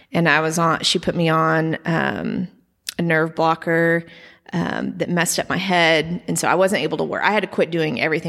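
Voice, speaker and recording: In an American accent, a woman speaks at a moderate pace with a fairly low pitch. Her intonation is fairly even, and vocal fry shows through. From Oklahoma, Edmond. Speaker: artist and cyclist. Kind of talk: casual interview chat.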